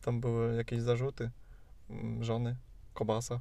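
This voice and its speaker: A man speaks at a medium pitch. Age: 20s. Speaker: university student, podcast co-host. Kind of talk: casual chat. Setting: in a car.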